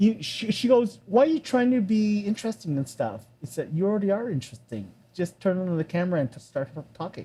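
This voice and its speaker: With a Canadian accent, a man speaks very fast with a high pitch, lively intonation and a dark, mellow tone. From Canada, Toronto. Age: 60s. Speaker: film and TV composer. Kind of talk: casual interview chat. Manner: halting, with many repetitions.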